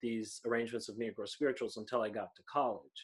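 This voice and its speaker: A man with an American accent speaks in a bright, sharp tone on a very clean recording with a silent background. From US Midwest. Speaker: podcast co-host. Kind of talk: casual chat.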